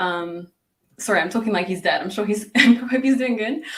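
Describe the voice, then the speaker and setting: A woman speaks with a British accent. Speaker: English teacher. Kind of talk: casual chat.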